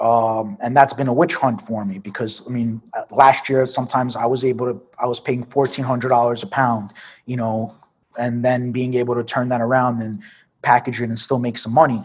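A man with a New York accent, fairly quick pace and flat, monotone intonation. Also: medium pitch for a man. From Brooklyn, New York. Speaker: cannabis entrepreneur. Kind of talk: interview.

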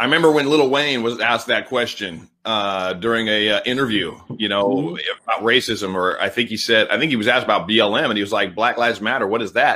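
Talking at a very fast pace with hardly any pauses, a man with an American accent uses ordinary pitch variation and a bright, sharp tone. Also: medium pitch for a man. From California. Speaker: podcast host. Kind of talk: interview conversation.

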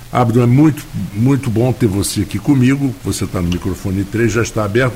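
Moderate pace from a man, medium-pitched, amid noticeable background noise. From Rio de Janeiro, Tijuca. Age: 70s. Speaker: radio host. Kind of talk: radio interview. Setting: radio studio. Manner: halting, many fillers.

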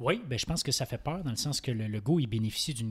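Somewhat breathy, very fast speech in a very clean recording with a silent background and a dry, close sound with no echo. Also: man. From Quebec, Saint-Hyacinthe. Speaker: political commentator and law student. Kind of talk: casual political panel discussion.

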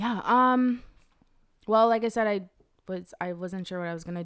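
This voice has an American accent. It moves at a fairly quick pace. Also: woman. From North Carolina, near Raleigh. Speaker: designer and photographer. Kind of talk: casual interview chat.

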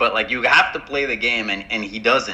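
Moderately paced speech from a man amid noticeable background noise. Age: 30s. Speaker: football podcast co-host. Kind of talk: casual chat. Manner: hesitant, many fillers.

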